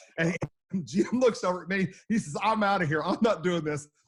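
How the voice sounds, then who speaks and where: A man's very fast, high-pitched delivery in an Oklahoma accent, with ordinary pitch variation. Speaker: storm chaser. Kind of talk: interview storytelling. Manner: animated.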